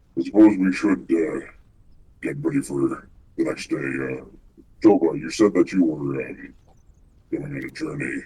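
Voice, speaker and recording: Using a put-on character voice, the man keeps his pitch fairly low. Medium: actual play.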